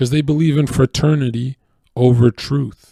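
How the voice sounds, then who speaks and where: The voice has a dark, mellow tone and moves at a moderate pace. The sound is dry and close, with no echo. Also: man. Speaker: streamer. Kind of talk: livestream monologue. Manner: animated.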